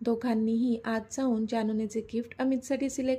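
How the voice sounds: Fairly even intonation from a natural reading voice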